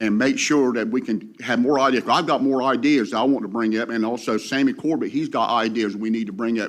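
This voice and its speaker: Against a quiet background, a man talks fairly quickly in a coastal North Carolina accent. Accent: coastal North Carolina Southern. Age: 60s. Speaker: commercial fisherman. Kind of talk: public comment. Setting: public meeting.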